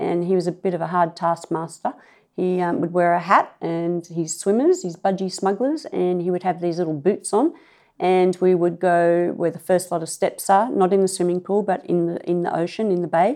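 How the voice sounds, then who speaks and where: A woman's fairly low, dark and mellow voice with an Australian accent, fairly even intonation and a moderate pace. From Sydney, Australia (Clovelly). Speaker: local resident sharing memories. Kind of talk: oral history interview. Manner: hesitant, many fillers.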